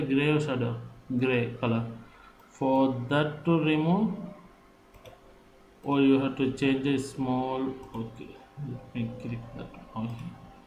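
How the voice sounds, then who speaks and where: There is audible room echo around a man's voice. He speaks at a medium pitch with fairly even intonation. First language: not English. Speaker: software tutorial maker. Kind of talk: tutorial. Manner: halting.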